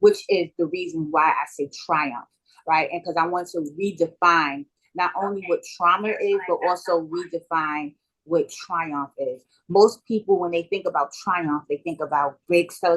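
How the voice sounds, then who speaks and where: A woman with a New York accent speaks at a fairly slow pace in a fairly low pitch, her intonation fairly even. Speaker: author and motivational speaker. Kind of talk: interview.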